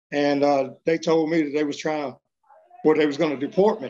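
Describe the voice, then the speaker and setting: In a Texas accent, a man with a fairly high voice talks at a very fast pace. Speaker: deported adoptee. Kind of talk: interview testimony.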